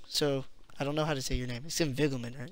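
The tone is bright and sharp from a man. The sound is dry, with no echo. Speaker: gameplay commentator. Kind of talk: let's play commentary. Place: home room.

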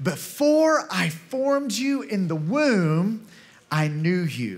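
A man speaks with very wide swings in pitch. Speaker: kids' ministry preacher. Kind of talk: sermon. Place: stage. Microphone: handheld.

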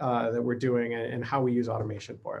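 A man with an American accent talks very fast. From US Midwest. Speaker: lab automation director. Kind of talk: conference presentation. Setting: remote recording. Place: home room.

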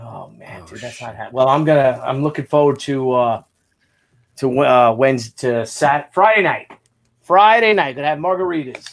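With lively intonation, a man keeps to a moderate speed. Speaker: comic book artist and co-host. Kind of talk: casual chat. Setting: video call. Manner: animated. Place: home room. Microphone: video call.

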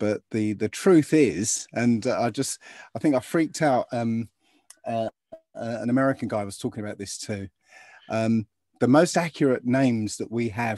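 A man talks at a fairly slow pace with long, frequent pauses and ordinary pitch variation, the sound dry with no echo and the background quiet. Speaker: remote guest. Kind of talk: interview answer. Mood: animated, amused. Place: home room. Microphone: video call.

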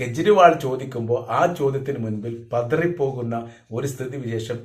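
Here a man's voice is somewhat breathy, with ordinary pitch variation. The room echo is audible. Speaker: political commentator. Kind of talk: political commentary monologue.

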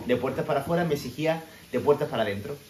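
A man talking at a fairly quick pace with an animated tone and ordinary pitch variation, amid audible room echo and light background noise. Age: 30s. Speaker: personal development coach; motivational vlogger. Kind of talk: motivational talk. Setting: home kitchen. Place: kitchen. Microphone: phone near.

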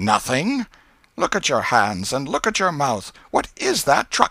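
A man's put-on character voice, medium in pitch, bright and sharp in tone, with very wide pitch swings at a fairly slow pace

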